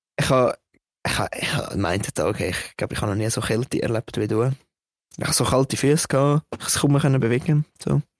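Someone with a Swiss accent speaks at a fairly quick pace. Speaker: podcast co-host. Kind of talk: casual chat.

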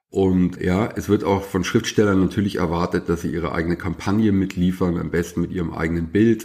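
On a very clean recording with a silent background, a man with a very deep, low pitch and a dark, mellow tone talks at a fairly quick pace with hardly any pauses and fairly even intonation. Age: 50s. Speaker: journalist and author. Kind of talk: casual chat.

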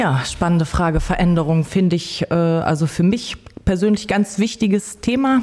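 A woman at a fairly low pitch and moderate pace, with ordinary pitch variation, very even loudness, and noticeable background noise. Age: 40s. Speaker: homemaker, DJ and bassist. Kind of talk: casual interview. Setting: office studio.

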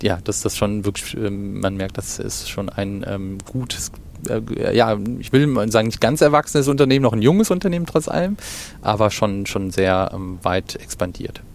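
Against noticeable background noise, a man with a fairly low pitch speaks at a moderate pace with lively intonation. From Germany, Cologne. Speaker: retail executive. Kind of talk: interview. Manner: halting, many fillers.

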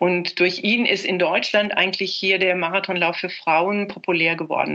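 A woman at a medium pitch speaks at a moderate pace in a monotone, flat intonation, with noticeable background noise behind her. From Germany. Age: 70s. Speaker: former marathon runner. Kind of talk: interview. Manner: hesitant with fillers.

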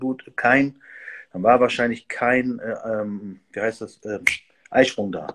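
A man speaks at a fairly slow pace in an unremarkable speaking voice. His pitch is medium, with ordinary pitch variation. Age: 50s. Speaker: host of an expert talk on hormones. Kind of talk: casual livestream talk.

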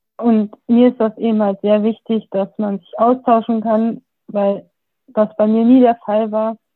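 Her pitch is fairly high and her intonation monotone and flat. The woman speaks at a fairly slow pace. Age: 20s. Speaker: youth group deputy leader. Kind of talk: casual self-introduction. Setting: video call.

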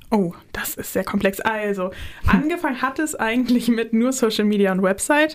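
Amid noticeable background noise, a woman speaks at a moderate pace with lively intonation and a fairly high pitch. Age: 20s. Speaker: media student and planetarium staff. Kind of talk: casual chat.

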